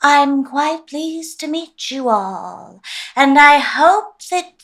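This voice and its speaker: This is a put-on character voice. It moves at a very slow pace. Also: woman, high pitch for a woman. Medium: audio drama. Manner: menacing, falsely sweet.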